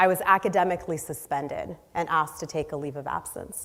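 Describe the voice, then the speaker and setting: A plain, everyday voice from a woman with an American accent, fairly low in pitch, with ordinary pitch variation at a moderate pace. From US Northeast, inner city Boston. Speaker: social entrepreneur. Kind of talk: inspirational talk. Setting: stage with audience.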